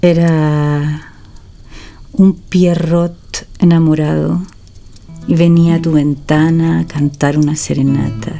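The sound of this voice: A woman uses a put-on character voice, low-pitched, dark and mellow, with vocal fry and little pitch movement. She speaks slowly over faint music in the background.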